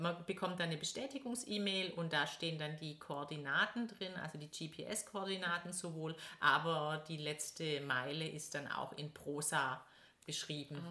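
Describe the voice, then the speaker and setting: Ordinary pitch variation runs through speech delivered at a moderate pace. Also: woman, very deep, low pitch for a woman. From Stuttgart, Swabia. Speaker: blogger and PR consultant. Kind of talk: casual interview. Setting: sitting on a sofa in Stuttgart.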